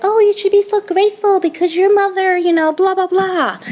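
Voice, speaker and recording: A squeaky, put-on character voice, female-sounding and extremely high in pitch, at a fairly quick pace over light background noise. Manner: lecturing, scolding.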